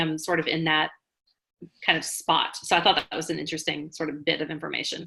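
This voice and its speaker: A woman's fairly low voice with a bright, sharp tone at a fairly quick pace. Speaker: educator and presentation trainer. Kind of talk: webinar presentation. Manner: fast.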